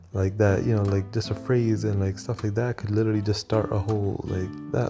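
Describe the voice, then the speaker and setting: A man speaks at a moderate pace in a medium pitch. Music plays in the background. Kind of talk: casual talk to camera, opinion commentary. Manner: whispered; hesitant, many filler words.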